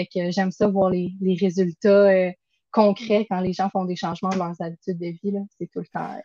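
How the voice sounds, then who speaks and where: A woman with a Quebec accent speaks at a moderate pace with a medium pitch, a dark, mellow tone, and monotone, flat intonation, in a dry, close sound with no echo. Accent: Québécois French. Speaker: nutritionist. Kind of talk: casual interview.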